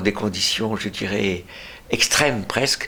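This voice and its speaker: A man with a fairly low pitch talks while noticeable background noise is present. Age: 80s+. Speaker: retired pediatrician. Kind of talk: interview. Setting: at home. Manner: halting.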